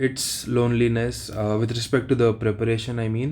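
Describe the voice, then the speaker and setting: A man's medium-pitched voice with an Indian accent at a moderate pace. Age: 30s. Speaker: exam aspirant vlogger. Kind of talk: casual vlog monologue. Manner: halting, slight stutter.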